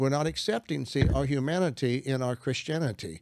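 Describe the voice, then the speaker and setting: In a Southern US accent, a man with a medium pitch talks at a fairly quick pace. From US South, Arkansas. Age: 70s. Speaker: Bible teacher and author. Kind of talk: religious teaching conversation.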